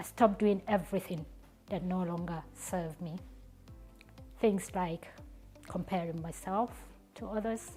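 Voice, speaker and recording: Music plays behind a woman who talks at a moderate pace, with big swings in loudness and long, frequent pauses. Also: medium pitch for a woman, fairly even intonation. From Nigeria. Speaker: public speaker. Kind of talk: inspirational stage presentation.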